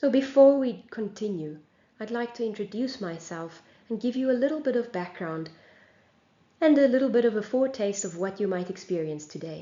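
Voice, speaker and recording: In a South African accent, a woman with a fairly high pitch talks at a fairly quick pace with lively intonation, and audible room echo surrounds her. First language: Afrikaans. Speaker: singing teacher. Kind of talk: lecture.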